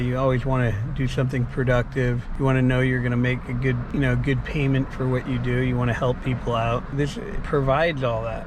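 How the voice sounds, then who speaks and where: A man speaks at a fairly quick pace in a medium-pitched, flat monotone. Noticeable background noise and audible room echo are present. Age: 60s. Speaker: garage door business owner and trainer. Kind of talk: casual to-camera talk with sales pitch. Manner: rambling, conversational.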